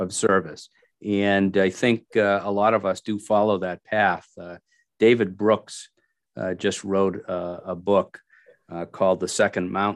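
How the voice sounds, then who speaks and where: Speaking at a fairly slow pace, a man uses an ordinary speaking voice with a fairly low pitch. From Massachusetts. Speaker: state legislator. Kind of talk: casual interview.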